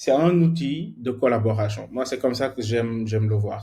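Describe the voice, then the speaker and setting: A man of medium pitch talks at a moderate pace in a somewhat breathy voice. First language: more at ease in English than French (speaking French). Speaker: software engineer teaching a workshop. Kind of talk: online workshop lecture. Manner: halting, many repetitions and fillers.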